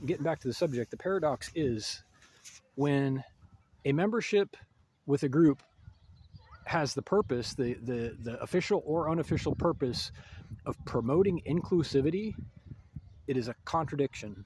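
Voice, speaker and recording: With lively intonation and a fairly high pitch, a somewhat breathy man speaks at a moderate pace, leaving long, frequent pauses. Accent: American. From United States. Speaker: video essayist. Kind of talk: monologue commentary. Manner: halting.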